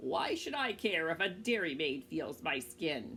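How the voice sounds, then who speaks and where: A woman's put-on character voice, fairly low in pitch, at a moderate pace against clear background noise. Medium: read story. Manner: persistent, coaxing.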